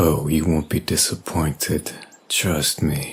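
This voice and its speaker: Putting on a character voice, a man speaks at a very deep, low pitch and a fairly slow pace. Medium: audio drama. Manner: polite, reserved.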